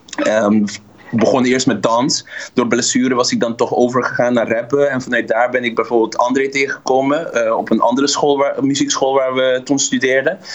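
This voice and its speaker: Fairly quick speech from a man at a medium pitch, with very even loudness and fairly even intonation, over noticeable background noise. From Dutch Caribbean (Curaçao, Bonaire). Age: 30s. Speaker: musician. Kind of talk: interview.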